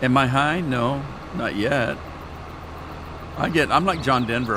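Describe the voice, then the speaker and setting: A man with an American accent speaks at medium pitch and a moderate pace with ordinary pitch variation, over audible room echo and noticeable background noise. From Washington State, Yakima Valley. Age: 70s. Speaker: gaming streamer. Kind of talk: live stream chat. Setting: live stream. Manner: animated, talks with his hands.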